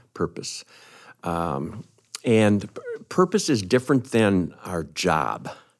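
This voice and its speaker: Speaking at a very slow pace, a man with a fairly low pitch uses vocal fry and lively intonation, with big swings in loudness and long, frequent pauses. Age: 60s. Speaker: retiring church minister. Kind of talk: conversational interview. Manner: hesitant, many fillers.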